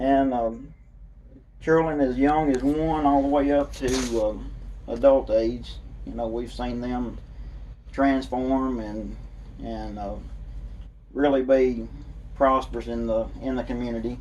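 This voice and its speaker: With a Kentucky accent, a man speaks at a fairly slow pace, leaving long, frequent pauses, and the room echo is audible. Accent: southern US, Kentucky. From Kentucky, Monroe County. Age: 40s. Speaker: political candidate. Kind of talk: interview. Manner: halting, many fillers.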